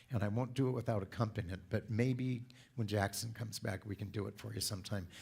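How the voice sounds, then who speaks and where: A man's fairly low, somewhat breathy voice with a West Coast US accent and ordinary pitch variation. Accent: General American (West Coast). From Southern California. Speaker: church speaker. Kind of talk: sermon.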